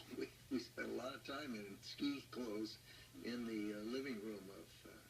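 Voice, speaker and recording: Music sits in the background, and audible room echo is present. A man speaks at a moderate pace and medium pitch with fairly even intonation. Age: 80s+. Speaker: former government official. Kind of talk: interview.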